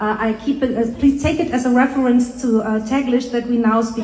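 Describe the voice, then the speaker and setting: A woman with a German accent talks in a high voice with fairly even intonation. Noticeable background noise and audible room echo surround her. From Germany. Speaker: art and artist coach. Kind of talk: panel discussion. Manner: halting.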